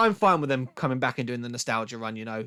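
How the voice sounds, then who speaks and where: With a British accent, a man at medium pitch speaks in a bright, sharp tone with ordinary pitch variation, a dry, close sound with no echo, and a very clean recording over a silent background. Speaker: music podcast host, record collector. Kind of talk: casual show-and-tell monologue. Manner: fast; casual, filler-heavy.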